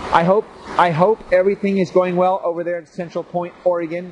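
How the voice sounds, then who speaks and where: A man speaks loudly. Noticeable background noise can be heard. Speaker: gardening show host. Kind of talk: casual video show talk. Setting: outdoors in the rain. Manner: animated.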